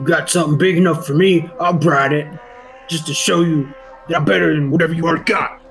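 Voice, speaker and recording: Against clear music in the background, a man rattles off a put-on character voice at a very fast pace and a fairly high pitch. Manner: boastful, swaggering.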